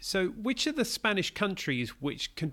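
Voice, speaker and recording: Over a silent background in a very clean recording, a man with an unremarkable speaking voice talks at a moderate pace with lively intonation. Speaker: school podcast host. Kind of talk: interview.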